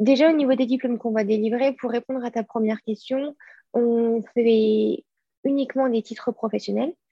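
A woman speaks with a high pitch at a moderate pace. Her intonation is fairly even, broken by long, frequent pauses. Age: 20s. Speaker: school director and co-founder. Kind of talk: interview conversation. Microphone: connection dropped out.

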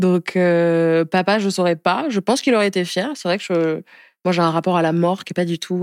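A woman uses an ordinary speaking voice, fairly low in pitch and at a moderate pace with fairly even intonation. The recording is very clean, with a silent background. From France, Spain, Madagascar, Niger (mixed childhood). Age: 20s. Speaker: activist and entrepreneur. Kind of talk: interview. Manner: casual, with many fillers.

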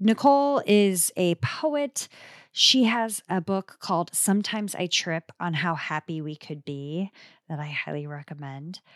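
In a Midwestern US accent, a woman with a fairly low pitch talks at a fairly slow pace, with very wide pitch swings and big swings in loudness, recorded dry and close with no echo on a very clean track with a silent background. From US Midwest. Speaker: podcast host. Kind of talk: casual chat.

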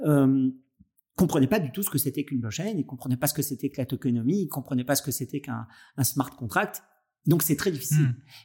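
A somewhat breathy man speaks fairly quickly at a fairly high pitch. His tone is dark and mellow, his intonation lively. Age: 50s. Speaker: podcast host, entrepreneur and business angel. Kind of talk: interview conversation.

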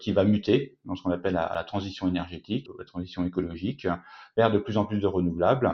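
A man does the talking. His delivery is fairly quick. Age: 40s. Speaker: company co-founder. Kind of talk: interview. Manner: hesitant, with fillers and repetitions.

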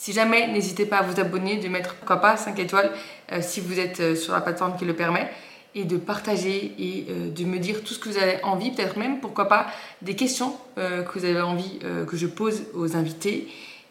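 At a moderate pace and with fairly even intonation, the speaker is heard over noticeable background noise with audible room echo. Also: woman, medium pitch for a woman. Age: 20s. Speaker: podcast host and online fitness coach. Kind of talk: solo podcast introduction.

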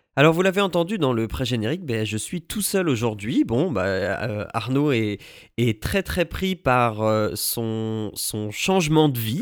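Very wide pitch swings mark this very slow speech on a very clean recording with a silent background. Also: man, medium pitch for a man. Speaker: podcast host. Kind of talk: solo podcast review. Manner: hesitant, many fillers.

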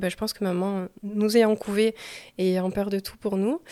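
A woman's voice with a dark, mellow tone. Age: 20s. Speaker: nurse and mother sharing postpartum story. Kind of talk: testimony.

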